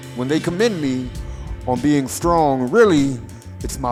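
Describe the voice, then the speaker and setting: Music plays in the background. Over it, a man talks with very wide pitch swings. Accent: Louisiana. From Baton Rouge, Louisiana. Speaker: performance poet. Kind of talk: poetry reading.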